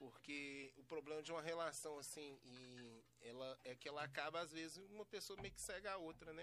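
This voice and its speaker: With an ordinary speaking voice, a man talks at a moderate pace and a fairly high pitch, using ordinary pitch variation. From Belo Horizonte, Brazil. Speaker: podcast host and MC. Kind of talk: casual interview chat. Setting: studio.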